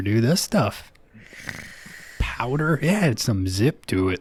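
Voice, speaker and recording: A man speaks very slowly in a somewhat breathy voice. His medium pitch swings very widely. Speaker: podcast host. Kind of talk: comedy podcast sketch. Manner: casual, crude.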